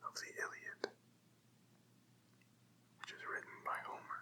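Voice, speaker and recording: Whispering and soft-spoken, a man talks at a fairly slow pace. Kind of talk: casual intro to listener. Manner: whispered, soft-spoken.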